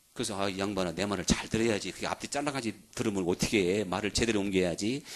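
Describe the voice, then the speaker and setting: This man talks at a very fast pace, his pitch fairly low. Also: ordinary pitch variation. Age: 60s. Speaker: pastor. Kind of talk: sermon. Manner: animated.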